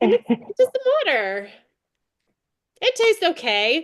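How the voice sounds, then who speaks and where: Very wide pitch swings mark this woman's speech. The sound is dry and close, with no echo. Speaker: network marketing coach. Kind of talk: coaching session. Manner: energetic, fast.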